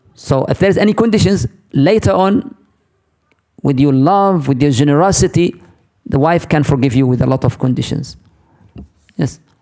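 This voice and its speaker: A man with an Arabic accent, a fairly high pitch and a dark, mellow tone, at a moderate pace with lively intonation, very even loudness and long, frequent pauses. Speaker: Islamic teacher. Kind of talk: lecture with Q&A.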